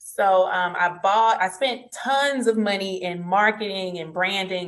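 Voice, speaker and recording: Her voice is a plain, everyday voice, as a woman speaks at a medium pitch with fairly even intonation. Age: 30s. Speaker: entrepreneur, business consultant. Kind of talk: interview.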